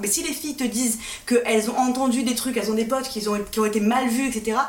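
The intonation stays fairly even, with audible room echo and noticeable background noise. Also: woman. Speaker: podcast host. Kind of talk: casual chat.

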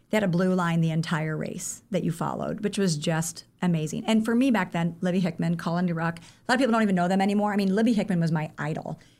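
A woman with a Midwestern US accent talks at a very fast pace in a fairly low pitch, with hardly any pauses. The recording is very clean, with a silent background. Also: ordinary pitch variation. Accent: US Midwest. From Iowa. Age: 40s. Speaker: running coach. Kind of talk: interview.

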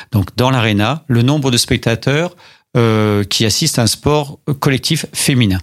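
Heard on a very clean recording with a silent background, a man uses an unremarkable speaking voice at a medium pitch with ordinary pitch variation. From Paris. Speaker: mayor. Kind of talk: radio interview.

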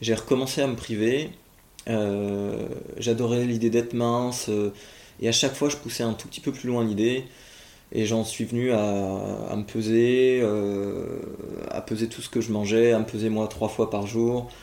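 Speaking at a fairly slow pace with long, frequent pauses, a man uses a medium pitch and a dark, mellow tone in a monotone, flat intonation. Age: 20s. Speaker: interviewee sharing eating disorder experience. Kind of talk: testimony.

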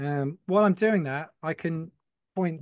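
A man with a southern English accent, fairly high pitch, ordinary pitch variation, dry, close sound with no echo. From Folkestone, Kent, southern England. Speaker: t-shirt brand owner. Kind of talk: casual chat.

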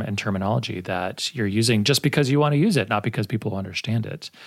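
A man speaks at a very fast pace with an American accent. His intonation is lively. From Texas, El Paso. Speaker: podcast host, university faculty. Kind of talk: interview.

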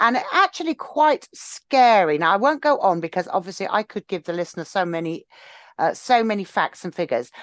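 A woman with an English accent at medium pitch, very wide pitch swings and a fairly quick pace, in dry, close sound with no echo over a quiet background. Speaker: podcast co-host. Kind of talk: casual chat.

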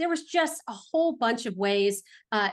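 Against a quiet background, a woman with a Californian accent speaks in an animated tone. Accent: American, Californian. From Los Angeles, California. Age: 40s. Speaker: real estate investor. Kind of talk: interview.

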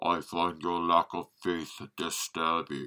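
In a put-on character voice, a man speaks at a fairly slow pace with a very deep, low pitch and flat, monotone intonation. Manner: menacing, with heavy breathing.

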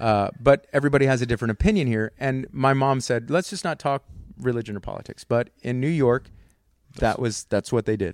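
In a dry, close sound with no echo, the speaker talks at a very fast pace with an American accent. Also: man. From Texas, near San Antonio. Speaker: comedian. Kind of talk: casual chat. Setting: home studio.

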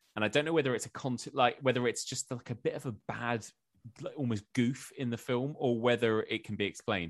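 Against a quiet background, a man with an English accent speaks at medium pitch with ordinary pitch variation, the sound dry and close with no echo. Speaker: podcaster and journalist. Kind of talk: casual chat.

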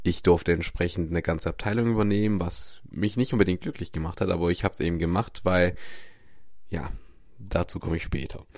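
On a very clean recording with a silent background, a man speaks fairly quickly in a very deep, low voice. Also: ordinary pitch variation. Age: 20s. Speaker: podcast host, mindset coach. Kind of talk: solo monologue, personal storytelling.

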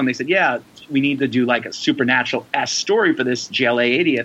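With an American accent, a man speaks at a very fast pace against noticeable background noise. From New York City (the Bronx). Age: 40s. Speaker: comic book and TV writer. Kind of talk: casual interview.

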